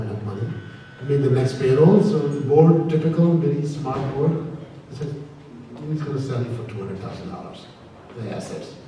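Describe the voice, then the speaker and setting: Speech comes at a very fast pace, with audible room echo and noticeable background noise. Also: man. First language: not English. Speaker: company founder. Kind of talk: panel discussion.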